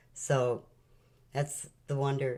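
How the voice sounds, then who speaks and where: Over music in the background, a woman speaks in a very deep, low pitch with fairly even intonation. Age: 70s. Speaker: spiritual channel host. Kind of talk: spiritual talk.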